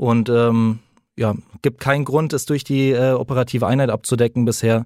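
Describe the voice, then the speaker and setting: A man talks in an ordinary speaking voice at a medium pitch with fairly even intonation. The sound is dry and close with no echo, on a very clean recording with a silent background. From Frankfurt, Germany. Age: 20s. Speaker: police detective. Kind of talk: interview.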